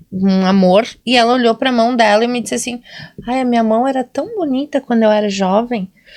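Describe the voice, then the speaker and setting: Here is a plain, everyday voice from a woman at fairly high pitch. She speaks fairly quickly, with ordinary pitch variation. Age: 40s. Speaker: nurse and podcast co-host. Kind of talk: casual chat.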